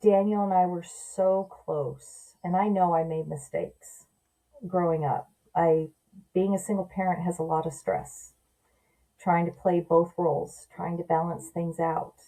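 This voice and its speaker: A woman's fairly low, dark and mellow voice with an American accent, flat monotone intonation and a fairly slow pace. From Southern California. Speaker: adoption story guest, mother. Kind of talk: podcast interview.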